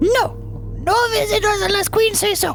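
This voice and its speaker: Over loud music in the background, a squeaky, put-on character voice talks at a moderate pace. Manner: curt, dismissive.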